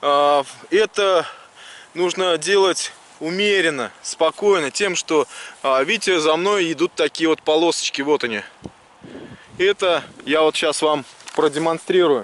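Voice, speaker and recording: A man with a fairly high pitch speaks at a very slow pace with long, frequent pauses, ordinary pitch variation and very even loudness, the sound dry with no echo. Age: 30s. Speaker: metal detecting video blogger. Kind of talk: tutorial. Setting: outdoors on a beach. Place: beach. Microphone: phone near.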